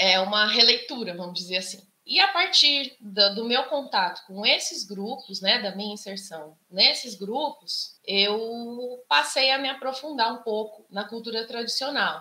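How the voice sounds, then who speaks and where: An ordinary speaking voice from a woman, fairly high in pitch with lively intonation, a fairly slow pace and big swings in loudness. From Socorro, São Paulo interior. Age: 40s. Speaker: musician and activist. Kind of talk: panel talk.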